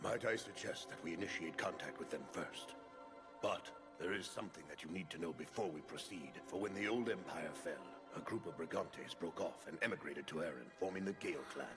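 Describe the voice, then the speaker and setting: A cartoonish character voice runs at a fairly quick pace over loud background music. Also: man, very deep, low pitch for a man. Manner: formal, articulate.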